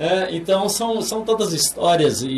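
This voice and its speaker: Through noticeable background noise and audible room echo, a man speaks at a very slow pace. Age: 60s. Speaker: pastor. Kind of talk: interview. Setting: studio. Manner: halting, with many repeated words.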